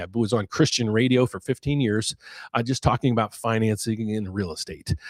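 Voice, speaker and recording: A man's plain, everyday voice with an American accent, medium pitch and fairly quick pace, dry and close with no echo, on a very clean recording with a silent background. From West Virginia, US. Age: 60s. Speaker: mortgage loan officer and finance YouTuber. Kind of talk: live Q&A market commentary with self-promotion. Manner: casual, repetitive with false starts.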